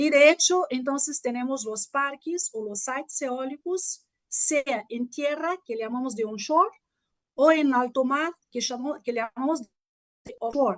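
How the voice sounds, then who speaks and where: A Portuguese accent at a fairly slow pace, with ordinary pitch variation, big swings in loudness, and a dry, close sound with no echo. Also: woman, high pitch for a woman. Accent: Portuguese-tinged Spanish. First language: Portuguese (speaking Spanish). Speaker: mechanical engineer, guest lecturer. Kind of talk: lecture.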